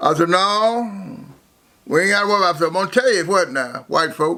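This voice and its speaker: This man talks in a raised, projected voice. His pitch is high and his intonation lively. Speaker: former bootlegger. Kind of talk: life story interview. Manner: halting, repetitive.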